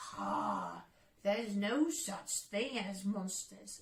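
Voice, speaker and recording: Using a put-on character voice, a woman talks at a very slow pace and a medium pitch. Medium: read story.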